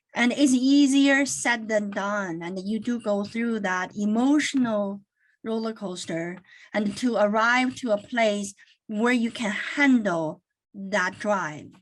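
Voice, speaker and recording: With a Chinese accent, a woman talks very slowly at a fairly high pitch, using ordinary pitch variation. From China. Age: 50s. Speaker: accounting firm managing partner. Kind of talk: webinar talk.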